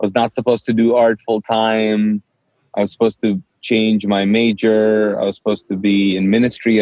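At a moderate pace, a man speaks in a monotone with flat intonation. He has a Pakistani accent. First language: Urdu. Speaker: pastor and author. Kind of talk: casual interview, sharing personal testimony.

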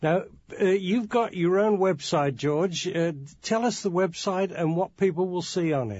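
A man with an English accent speaks at a fairly slow pace in a high voice, his pitch rising and falling in an ordinary way. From England, Birmingham. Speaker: radio host and journalist. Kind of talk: interview.

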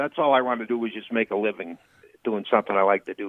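A man talks with a Midwestern US accent. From rural Illinois. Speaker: comedian. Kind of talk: casual chat.

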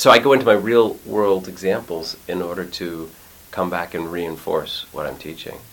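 A man talks at a moderate pace with a very deep, low pitch and ordinary pitch variation. His loudness swings a lot, and there is noticeable background noise. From Quebec, Montreal. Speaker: actor and acting teacher. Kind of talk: casual interview chat.

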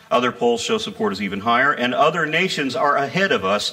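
Noticeable background noise sits under speech whose pitch swings very widely. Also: man. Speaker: atheist activist and speaker. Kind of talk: stand-up comedy. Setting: stage with audience. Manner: animated, irreverent, sarcastic; punchy joke delivery with pauses for audience laughter.

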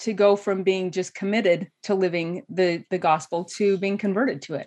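Against a quiet background, a woman with an American accent talks at a moderate pace and medium pitch in an unremarkable speaking voice. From Idaho. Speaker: life coach. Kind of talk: interview.

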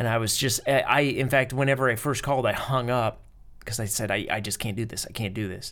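Speaking at a fairly quick pace with an American accent, a man with an unremarkable speaking voice keeps his medium pitch in fairly even intonation. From United States. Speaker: podcast co-host. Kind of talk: casual chat. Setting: remote call, speaking from a hotel in Italy.

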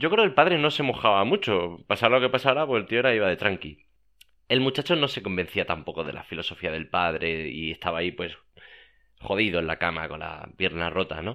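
A man's fairly low voice moves through very wide pitch swings. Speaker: podcast host. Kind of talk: casual monologue. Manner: repetitive, halting.

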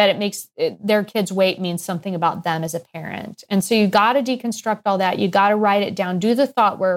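In a normal speaking voice with an American accent, the speaker talks at a moderate pace. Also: woman. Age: 50s. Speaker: pediatrician and weight coach. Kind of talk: interview.

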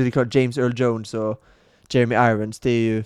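A man's normal speaking voice at a medium pitch, fairly quick in pace, with a dry, close sound and no echo. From Sweden. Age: 30s. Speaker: podcast co-host. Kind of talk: casual chat.

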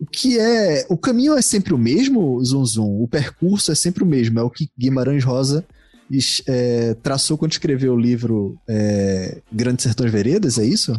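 The voice has a dark, mellow tone and lively intonation, with very even loudness throughout. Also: man, medium pitch for a man, moderate pace, quiet background. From Recife, Brazil. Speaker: podcast host. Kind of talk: casual chat.

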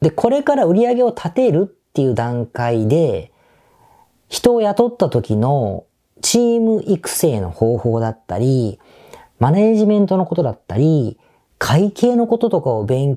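A man speaks at a fairly slow pace with a fairly high pitch and very wide pitch swings. His tone is dark and mellow, on a very clean recording with a silent background. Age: 50s. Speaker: business podcast host. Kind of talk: solo podcast monologue. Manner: casual conversational.

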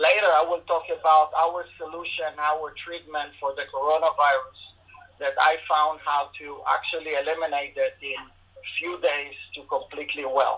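Noticeable background noise sits behind a man speaking at a moderate pace. His pitch is fairly high and his intonation fairly even. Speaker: integrative medicine doctor. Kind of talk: interview answering questions. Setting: video call.

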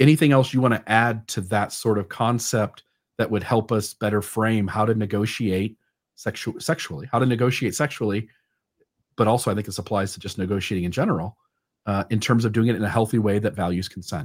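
A man speaks in a normal speaking voice, fairly low in pitch with ordinary variation. His pace is fairly quick, and the recording is very clean with a silent background. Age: 30s. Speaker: podcast host. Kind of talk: interview.

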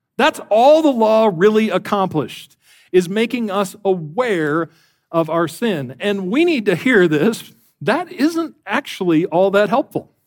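Over a very clean, silent background, a man talks fairly slowly in a high voice with very wide pitch swings. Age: 40s. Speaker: guest preacher. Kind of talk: sermon. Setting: church.

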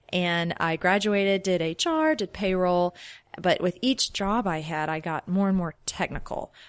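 In an American accent, a woman uses an ordinary speaking voice at a medium pitch and a fairly slow pace, with ordinary pitch variation. The recording is very clean and dry, with a silent background and a close sound with no echo. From Louisiana, US South (Shreveport). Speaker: software developer. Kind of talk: interview.

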